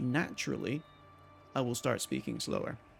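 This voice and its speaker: A man is speaking. Music plays behind him. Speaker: game streamer. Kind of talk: live gameplay commentary. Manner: trips over words.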